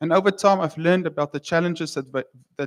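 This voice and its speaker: With a South African accent, a man talks at a fairly high pitch and fairly even intonation, in a very clean, dry, close recording with no echo and a silent background. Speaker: wine researcher. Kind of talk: conference talk. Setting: stage with audience. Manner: halting.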